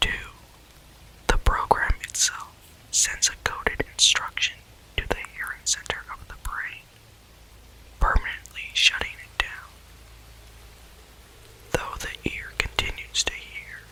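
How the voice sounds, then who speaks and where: A man whispering at a fairly slow pace, with long, frequent pauses, big swings in loudness and noticeable background noise. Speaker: ASMR reader. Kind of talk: ASMR story reading. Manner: soft-spoken, calm.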